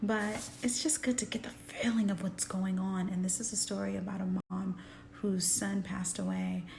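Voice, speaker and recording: Noticeable background noise runs under the voice. The speech moves at a moderate pace. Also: woman, medium pitch for a woman. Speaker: actress. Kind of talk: casual vlog talk to camera. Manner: upbeat, energetic.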